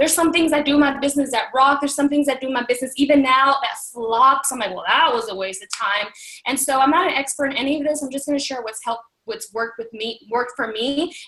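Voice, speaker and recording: A woman talks at a very fast pace in a high voice with ordinary pitch variation. Noticeable background noise runs underneath. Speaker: fitness business coach. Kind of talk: motivational training talk. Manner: animated.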